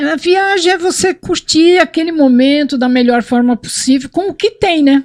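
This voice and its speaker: A woman at a fairly slow pace with lively intonation, dry and close with no echo, in a very clean recording against a silent background. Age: 60s. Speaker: motorcyclist. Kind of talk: casual chat.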